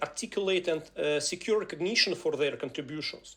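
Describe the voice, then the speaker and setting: The speaker talks at a moderate pace with a Ukrainian accent. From Ukraine. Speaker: software engineering speaker and trainer. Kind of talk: live webinar presentation. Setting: live online webinar. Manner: halting, many fillers.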